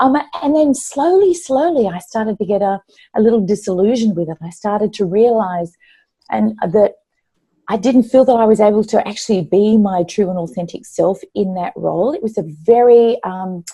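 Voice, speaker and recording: A woman talks at a fairly quick pace with an Australian accent and ordinary pitch variation. Her medium-pitched voice is somewhat breathy, with a dark, mellow tone. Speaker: former corporate executive, author. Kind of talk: interview. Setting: live online interview.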